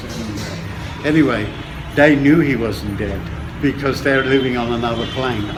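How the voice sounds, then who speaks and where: Noticeable background noise and audible room echo surround the recording. A man speaks at a moderate pace with fairly even intonation. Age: 70s. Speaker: dry fasting teacher. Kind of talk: interview.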